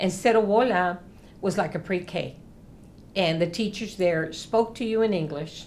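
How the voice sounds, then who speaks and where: Audible room echo surrounds a woman speaking. She has an American accent and a fairly slow pace. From US South, South Texas (near the Mexican border). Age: 60s. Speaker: interviewee, former student activist. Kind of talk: documentary interview.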